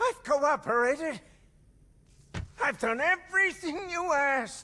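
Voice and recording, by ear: A man puts on a character voice at an extremely high pitch, slow in pace, with a bright, sharp tone and lively intonation.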